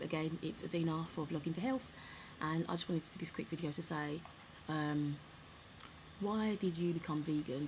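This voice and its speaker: The woman's voice is fairly low and somewhat breathy. She talks at a fairly quick pace. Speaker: vlogger. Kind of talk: casual chat. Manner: straining to speak up.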